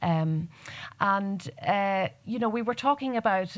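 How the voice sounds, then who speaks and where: A woman speaks with a Donegal accent. Her pace is fairly slow. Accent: Donegal Irish. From Ireland, northwest Donegal Gaeltacht. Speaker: poet. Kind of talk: panel discussion. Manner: halting.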